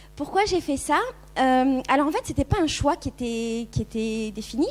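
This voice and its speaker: Against noticeable background noise, a woman speaks with a high pitch. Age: 30s. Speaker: YouTuber and blogger on minimalism. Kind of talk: conference talk. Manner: casual, hesitant with many fillers.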